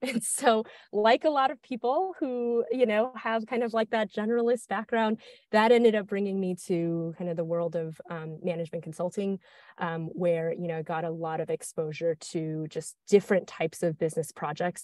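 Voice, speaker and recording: Against a quiet background with a dry sound and no echo, a woman talks at a moderate pace with lively intonation. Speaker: guest. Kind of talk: interview answer. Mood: friendly, smiling. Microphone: earbuds.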